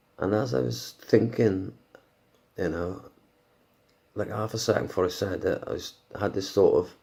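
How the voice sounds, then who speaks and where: Speaking quietly at a moderate pace, a man leaves long, frequent pauses. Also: very clean recording, silent background. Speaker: podcaster. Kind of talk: casual monologue. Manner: halting.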